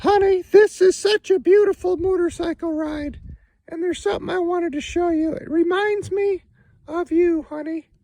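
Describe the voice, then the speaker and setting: Someone at a moderate pace uses a cartoonish character voice with extremely high pitch. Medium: puppet. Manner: teasing, playful.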